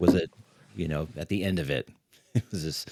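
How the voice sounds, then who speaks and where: In an American accent, a man speaks with a very deep, low pitch and a dark, mellow tone. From California, Riverside. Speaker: podcast host. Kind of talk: interview.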